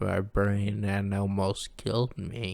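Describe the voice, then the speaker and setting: A man's fairly low voice at a very slow pace, in a very clean recording with a silent background. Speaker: news commentary vlogger. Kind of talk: casual monologue. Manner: hard to understand.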